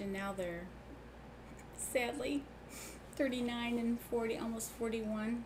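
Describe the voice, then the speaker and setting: Audible room echo and noticeable background noise surround the woman as she talks. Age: 60s. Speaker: sewing channel host. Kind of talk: casual livestream chat. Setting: live stream.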